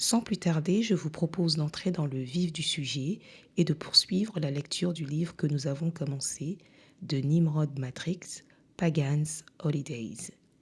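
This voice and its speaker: The delivery is very slow. Nothing can be heard behind it in this very clean recording. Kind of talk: podcast introduction. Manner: formal.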